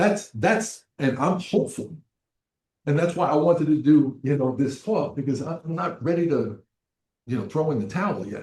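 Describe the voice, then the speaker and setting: A somewhat breathy man at a fairly high pitch, with lively intonation and a moderate pace. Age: 70s. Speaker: addiction counselor. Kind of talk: presentation. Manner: repetitive, halting.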